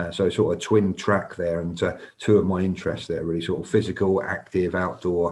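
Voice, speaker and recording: Over a quiet background, a man with a North London accent speaks at a very fast pace, his very deep, low pitch held in a monotone, flat intonation. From North London, England. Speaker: senior police officer. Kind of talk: live panel talk. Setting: live online stream. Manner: halting, many fillers.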